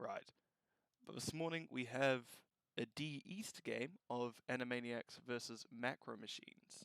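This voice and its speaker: A man with an Australian accent at a medium pitch, fairly slow in pace with ordinary pitch variation, the sound dry and close with no echo. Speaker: esports caster. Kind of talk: live game commentary. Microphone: was too quiet then peaking; moved mic away.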